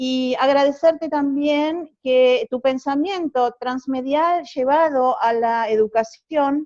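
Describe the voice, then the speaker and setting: A woman speaks at a very slow pace in a high pitch. She has hardly any pauses. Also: ordinary pitch variation. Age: 60s. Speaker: university teacher. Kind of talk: academic video call discussion.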